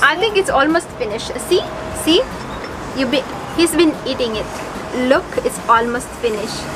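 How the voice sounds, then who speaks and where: A woman talks at a fairly slow pace, with long, frequent pauses. Noticeable background noise sits behind her. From Bicol, Philippines. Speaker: vlogger, single parent. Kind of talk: casual talk to camera. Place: home room. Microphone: phone near.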